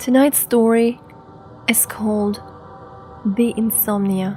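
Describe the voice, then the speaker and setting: With music in the background, a woman speaks at a very slow pace in a fairly high pitch and fairly even intonation. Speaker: storyteller. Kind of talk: bedtime horror story narration. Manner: soft-spoken, ASMR-style.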